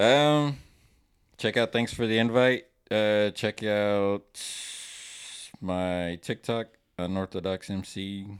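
In a very clean recording with a silent background, a man speaks very slowly at a fairly low pitch, leaving long, frequent pauses. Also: ordinary pitch variation. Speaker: rapper and podcast co-host. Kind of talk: casual chat. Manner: anxious, halting.

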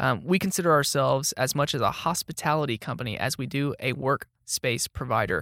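A man with a Texan accent, medium-pitched, bright and sharp in tone with vocal fry and lively intonation, fairly quick with hardly any pauses, in a dry, close, very clean recording with a silent background. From Texas, Dallas-Fort Worth area. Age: 20s. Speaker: marketing specialist. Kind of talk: casual interview chat. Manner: animated.

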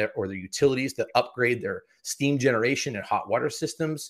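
A man with an American accent, ordinary pitch variation and a fairly quick pace, in a very clean recording with a silent background. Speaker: executive of a dry cleaning certification agency. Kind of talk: interview. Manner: animated.

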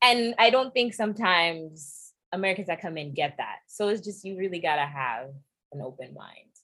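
On a very clean recording with a silent background, a woman with a New York accent talks at a moderate pace in a medium-pitched, bright, sharp tone with very wide pitch swings. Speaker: podcast host and DJ. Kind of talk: casual chat.

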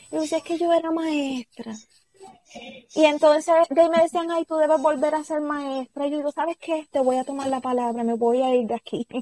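A woman's high-pitched voice with fairly even intonation, dry and close with no echo. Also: fairly quick pace. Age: 30s. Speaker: craft business owner. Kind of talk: interview.

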